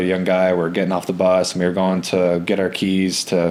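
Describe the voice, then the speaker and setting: A man's very deep, low voice at a moderate pace, monotone and flat, with noticeable background noise. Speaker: professional baseball pitcher. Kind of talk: podcast interview answer. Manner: soft-spoken, smooth.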